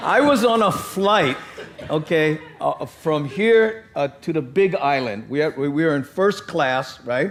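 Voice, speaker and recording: Fairly high-pitched and fairly slow, a man speaks with lively intonation over noticeable background noise. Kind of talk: panel discussion. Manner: casual, anecdotal storytelling.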